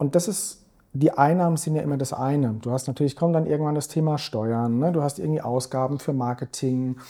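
In a very clean recording with a silent background, a man talks at a fairly quick pace in a fairly high pitch, with a dark, mellow tone and ordinary pitch variation. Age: 40s. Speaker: investment strategist. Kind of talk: podcast interview. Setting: office.

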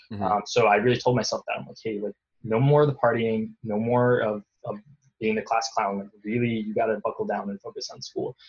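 A man with an American accent talks at a fairly quick pace and a medium pitch, somewhat breathy and monotone with flat intonation, his loudness swinging widely in a dry, close sound with no echo. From US Northeast, western New York near Rochester. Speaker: startup founder. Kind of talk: casual interview.

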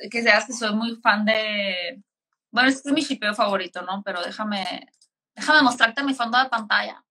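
A woman's bright, sharp tone at a fairly high pitch, with ordinary pitch variation and a moderate pace. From Mexico. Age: 30s. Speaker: film podcaster. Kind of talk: casual chat. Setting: live stream.

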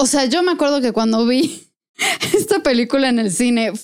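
This is a woman's voice, high in pitch. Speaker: podcast co-host. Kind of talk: casual chat.

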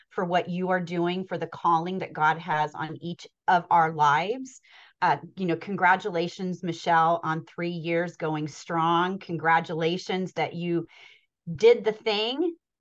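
Against a quiet background, a woman with a normal speaking voice talks at a fairly slow pace. Her pitch is fairly low and her intonation fairly even. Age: 50s. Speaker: podcast host. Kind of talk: casual chat.

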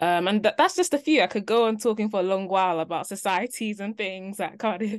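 In a London accent, a woman talks with ordinary pitch variation over a quiet background. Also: medium pitch for a woman, fairly quick pace. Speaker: junior doctor. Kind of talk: interview. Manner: hesitant, many fillers.

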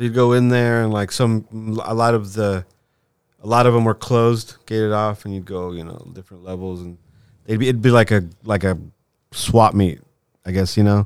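A man with a Southern Californian accent speaks at a moderate pace in a fairly low pitch, his intonation fairly even, his loudness swinging widely, and long pauses coming often, on a very clean recording with a silent background. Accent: Southern Californian American. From Southern California, eastern LA area (Covina), born in Lima, Peru. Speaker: infrastructure designer and show promoter. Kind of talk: casual chat. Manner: halting, many fillers and restarts.

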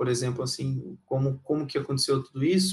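Its pitch varies in an ordinary way, and it is an ordinary speaking voice. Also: man. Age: 20s. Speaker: volleyball performance analyst. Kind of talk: casual interview.

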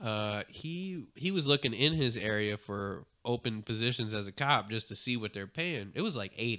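A man with an unremarkable speaking voice talks at a moderate pace and medium pitch with lively intonation. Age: 30s. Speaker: podcast co-host. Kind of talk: casual chat. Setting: studio.

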